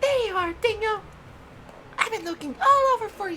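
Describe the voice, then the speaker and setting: A man puts on a squeaky character voice at an extremely high pitch. Clear background noise can be heard. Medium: game stream. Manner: eager, pushy.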